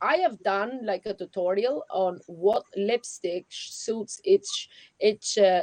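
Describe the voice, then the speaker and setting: Recorded dry and close with no echo, a woman speaks with fairly high pitch and lively intonation. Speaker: livestream host. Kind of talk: casual chat. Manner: loud; animated.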